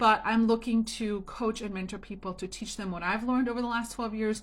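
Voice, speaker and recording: A woman's fairly high, somewhat breathy voice, fairly even in intonation and fairly quick in pace. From Germany. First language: German or Italian. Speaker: home business coach. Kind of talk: motivational talk to camera. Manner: casual, chatty.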